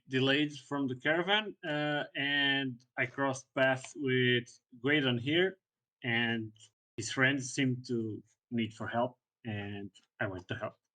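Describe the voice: Speaking at a slow pace, the voice has a bright, sharp tone and fairly even intonation. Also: man.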